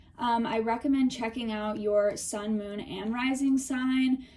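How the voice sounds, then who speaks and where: A woman speaks at a fairly high pitch, somewhat breathy, with a dark, mellow tone. Her pitch varies in an ordinary way. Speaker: tarot reader. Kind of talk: tarot reading. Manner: casual, filler-heavy.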